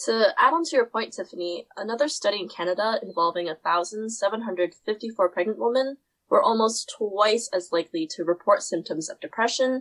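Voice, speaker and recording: A woman with an unremarkable speaking voice and a fairly high pitch talks at a moderate pace with lively intonation, the sound dry and close with no echo. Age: young. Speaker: student podcast host. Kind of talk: scripted academic discussion.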